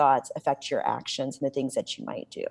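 Recorded very cleanly against a silent background, a woman speaks with an American accent. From Illinois, Champaign. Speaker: medical school diversity director. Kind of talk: interview.

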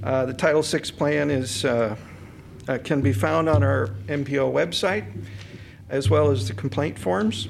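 This man talks at a fairly slow pace, his pitch swinging very widely, with long, frequent pauses. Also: fairly low pitch for a man. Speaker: transportation planner. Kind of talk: staff presentation at public board meeting. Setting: in-person meeting room, speaking with a mask.

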